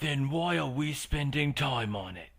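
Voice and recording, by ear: The speaker puts on a character voice with lively intonation. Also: man.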